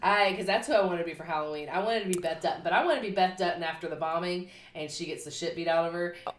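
Talking very fast with hardly any pauses, a woman with a slight Southern US accent uses a fairly low pitch and fairly even intonation over noticeable background noise. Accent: mild Southern US. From US South. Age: 30s. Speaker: podcast co-host. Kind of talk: casual chat.

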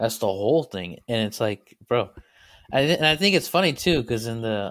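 Lively in intonation, a man with an ordinary speaking voice talks fairly quickly at a medium pitch. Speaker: podcast guest. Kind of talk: casual chat. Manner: joking, profane.

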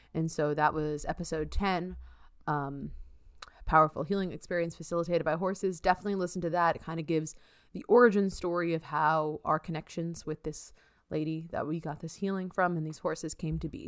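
On a very clean recording with a silent background, a woman with an unremarkable speaking voice talks at a fairly quick pace, with fairly low pitch and fairly even intonation. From New York. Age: 30s. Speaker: podcast host, astrophysicist. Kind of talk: casual chat.

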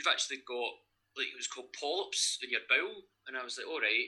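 With a Lanarkshire accent, a man speaks at a very fast pace. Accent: Scottish (Lanarkshire). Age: 30s. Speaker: gym owner and online coach. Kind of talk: casual interview.

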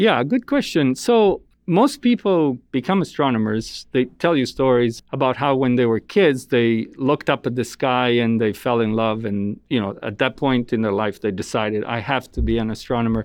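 With an Italian accent, a man talks at a moderate pace and medium pitch, using ordinary pitch variation and hardly any pauses. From Italy. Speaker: astronomer. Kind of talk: interview.

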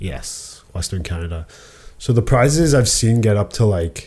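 A man's dark, mellow, somewhat breathy voice at a fairly slow pace. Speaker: podcast co-host. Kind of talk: casual chat about sports and betting picks. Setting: office, recorded on camera.

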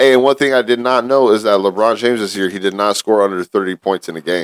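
Talking at a fairly quick pace, a man speaks in a fairly low pitch with ordinary variation, the sound dry and close with no echo. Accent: Southern California. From San Gabriel Valley, Los Angeles area. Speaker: podcast co-host. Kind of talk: casual chat.

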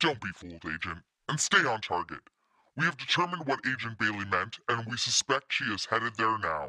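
A woman puts on a character voice with a very deep, low pitch, speaking at a fairly quick pace. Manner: clipped, cold, commanding.

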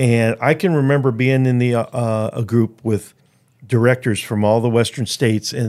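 A normal speaking voice with an American accent, moderate pace and fairly even intonation, on a very clean recording with a silent background. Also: man. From Chicago, US Midwest. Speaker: conservation organization president. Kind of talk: casual interview.

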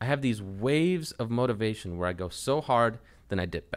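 On a very clean recording with a silent background, a man with an ordinary speaking voice talks at a medium pitch with lively intonation. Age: 20s. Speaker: podcast host. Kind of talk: casual chat.

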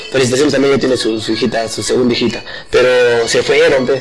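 Very fast, monotone, flat male voice of medium pitch amid audible room echo and noticeable background noise. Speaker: podcast co-host. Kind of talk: casual chat. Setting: live stream.

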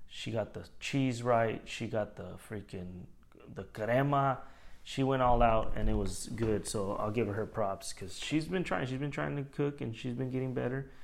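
A man speaks at a moderate pace in an ordinary speaking voice, with medium pitch and ordinary pitch variation. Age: 30s. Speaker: podcast host. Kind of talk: casual chat.

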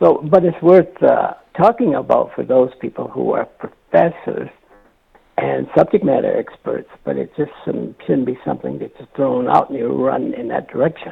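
Male speech at a moderate pace over music in the background. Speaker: political panelist. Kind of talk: casual political discussion.

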